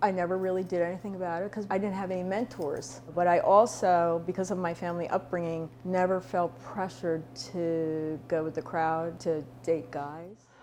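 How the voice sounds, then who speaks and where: With an American accent, a woman has a normal speaking voice, fairly low in pitch. She keeps a moderate pace and fairly even intonation. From outside the US. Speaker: interviewee. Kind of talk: testimony.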